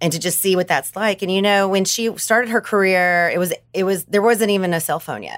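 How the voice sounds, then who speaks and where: In a very clean recording with a silent background, a woman with a Southern US accent talks at medium pitch and a fairly quick pace, with hardly any pauses. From US South, Arkansas. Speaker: advertising entrepreneur. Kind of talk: casual chat.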